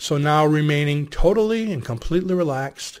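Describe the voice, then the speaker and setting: A man with an ordinary speaking voice talks at a moderate pace, fairly high in pitch with ordinary pitch variation. The recording is very clean, with a silent background. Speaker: hypnosis instructor. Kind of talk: guided hypnosis induction. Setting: video to camera. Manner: gentle, directive, measured.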